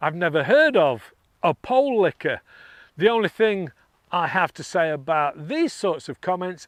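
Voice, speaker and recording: A man's high voice with very wide pitch swings at a fairly slow pace, in a very clean recording with a silent background and a dry, close sound with no echo. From northeast England. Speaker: airgun reviewer, channel host. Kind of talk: casual monologue responding to comments. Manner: excitable at times.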